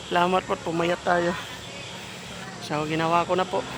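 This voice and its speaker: Noticeable background noise surrounds a man speaking at a high pitch and a moderate pace. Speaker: vlogger. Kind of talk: casual vlog.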